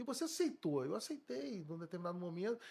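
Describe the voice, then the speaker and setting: A man speaks with very wide pitch swings. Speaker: police chief. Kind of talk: interview. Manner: halting.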